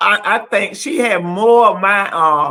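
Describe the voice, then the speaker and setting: Lively intonation carries a bright, sharp tone. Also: woman. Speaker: talk show host. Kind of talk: casual chat. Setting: studio. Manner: loud when adamant.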